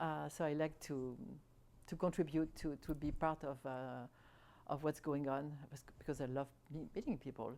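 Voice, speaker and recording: With a French accent, a woman with very deep, low pitch and a dark, mellow tone speaks at a moderate pace with fairly even intonation and long, frequent pauses. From France. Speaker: French expatriate resident. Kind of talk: interview. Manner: halting, many repetitions and fillers.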